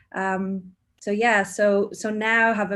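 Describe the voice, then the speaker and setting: Someone with an Irish accent talks at a fairly slow pace with fairly even intonation. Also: woman. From Ireland, Cork. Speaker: mindfulness teacher, HR professional. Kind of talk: casual chat.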